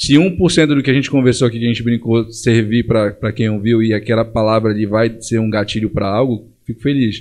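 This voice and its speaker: A man speaks at a medium pitch in a plain, everyday voice with fairly even intonation. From Brazil, Pará (Belém and Monte Dourado). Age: 30s. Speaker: entrepreneur. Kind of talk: casual interview.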